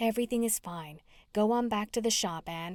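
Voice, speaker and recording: A woman speaks in a put-on character voice at a fairly high pitch, with ordinary pitch variation. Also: very clean recording, silent background. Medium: read story.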